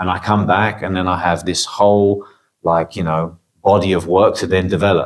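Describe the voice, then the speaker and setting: A man speaks with a very deep, low pitch. His delivery is moderate in pace and monotone, flat in intonation. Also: very clean recording, silent background. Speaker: barber and photographer. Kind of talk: casual interview chat. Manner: hesitant, many repetitions and fillers.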